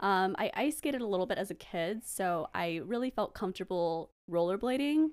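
A woman with an American accent at medium pitch, lively intonation, moderate pace and hardly any pauses, on a very clean recording with a silent background. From US West Coast. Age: 20s. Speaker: podcast guest. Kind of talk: casual interview chat.

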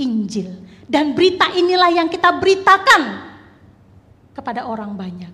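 Her raised, projected voice swings very widely in pitch and greatly in loudness as the woman moves at a moderate pace with long, frequent pauses, all in audible room echo. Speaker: preacher. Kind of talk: sermon. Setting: church.

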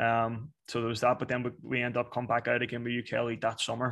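Here a man speaks with a strong Northern Irish accent. His pitch is medium. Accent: Northern Irish, fairly strong. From Belfast, Northern Ireland. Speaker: soccer coach. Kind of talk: interview, casual chat.

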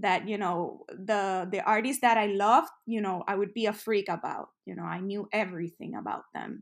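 The speaker has a Spanish accent. She is a woman. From Puerto Rico, San Juan. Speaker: music industry professional. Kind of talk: interview. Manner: frequent fillers and false starts.

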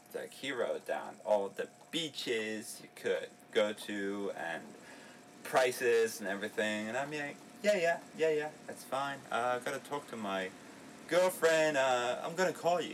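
A man's medium-pitched voice has lively intonation, with noticeable background noise behind it. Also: fairly slow pace. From Berlin, Germany. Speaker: travel podcast co-host. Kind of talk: casual chat.

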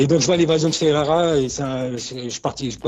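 Noticeable background noise sits behind a man's voice. His pitch is fairly high, with ordinary variation. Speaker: graffiti writer. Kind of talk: interview. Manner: halting.

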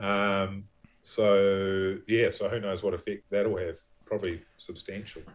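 A man with a New Zealand accent, fairly low-pitched, fairly slow, and monotone and flat in intonation. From New Zealand, Levin. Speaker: actor and film producer. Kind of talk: casual interview chat.

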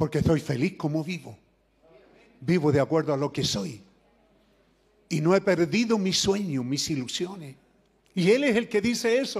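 Pitched high for a man, his voice has lively intonation and moves at a moderate pace, broken by long, frequent pauses. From Chile. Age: 70s. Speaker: preacher. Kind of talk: sermon. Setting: church.

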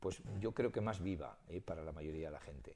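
The voice belongs to a man. It carries a dark, mellow tone. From Spain, Soria. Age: 70s. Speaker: collector and retired teacher. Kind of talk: radio interview.

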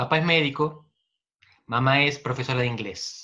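A man's medium-pitched voice, bright and sharp in tone, at a moderate pace with fairly even intonation. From Argentina, Buenos Aires province. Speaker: political scientist. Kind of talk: interview.

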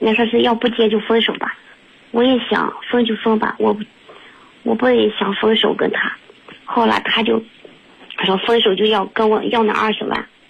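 With noticeable background noise behind her, a woman with a fairly high pitch speaks at a moderate pace in a flat monotone, keeping her loudness very even and leaving long, frequent pauses. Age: 30s. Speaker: caller. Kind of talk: testimony. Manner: halting.

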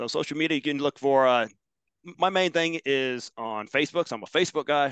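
Over dry, close sound with no echo, a man with a normal speaking voice talks at a fairly quick pace with a fairly high pitch and ordinary pitch variation. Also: quiet background. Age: 40s. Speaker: fitness trainer and gym owner. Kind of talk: interview.

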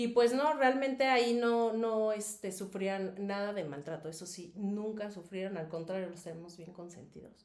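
In a Mexico City accent, the speaker talks at a moderate pace with hardly any pauses, ordinary pitch variation and big swings in loudness, over noticeable background noise. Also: woman, medium pitch for a woman. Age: 40s. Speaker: former dolphin trainer and advertising model. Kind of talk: casual interview.

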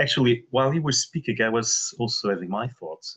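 A man speaks with a Portuguese accent at a medium pitch. His pitch varies in an ordinary way. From Portugal. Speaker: meditation participant. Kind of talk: group discussion.

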